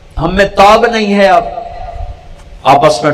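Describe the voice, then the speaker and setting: Background noise is noticeable throughout. The voice belongs to a man. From Pakistan. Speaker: Islamic preacher. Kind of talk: religious sermon. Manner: impassioned, pleading.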